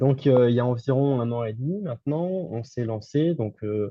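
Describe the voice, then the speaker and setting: He is a man speaking at a medium pitch. His voice sounds somewhat breathy. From France. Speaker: entrepreneur, game developer. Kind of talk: interview. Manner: hesitant, many fillers.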